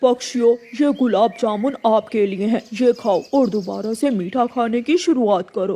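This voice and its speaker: Putting on a cartoonish character voice, a man speaks at an extremely high pitch and a moderate pace with hardly any pauses. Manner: commanding.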